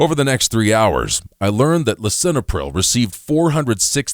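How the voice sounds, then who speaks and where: In a very clean recording with a silent background, a man speaks at a moderate pace. His pitch swings very widely, and vocal fry comes through. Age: 60s. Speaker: spokesperson for a health product. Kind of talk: scripted sales pitch.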